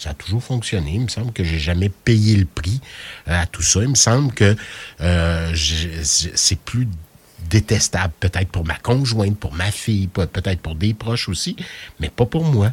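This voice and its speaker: At a fairly slow pace, a somewhat breathy man speaks with lively intonation in a dry, close sound with no echo. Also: fairly low pitch for a man. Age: 50s. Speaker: radio host. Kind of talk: radio interview.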